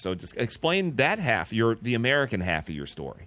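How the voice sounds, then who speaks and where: The pitch swings very widely at a fairly quick pace. Vocal fry runs through the voice. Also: man. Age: 30s. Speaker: podcast host. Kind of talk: interview.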